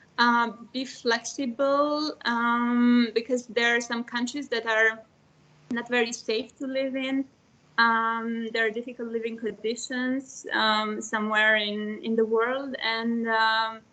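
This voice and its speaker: Speaking at a very slow pace, a woman keeps a fairly high pitch in a monotone, flat delivery. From Romania. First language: Serbian. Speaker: former EU trainee, government advisor. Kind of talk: panel talk in an online webinar. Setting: online video meeting. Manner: hesitant, many fillers.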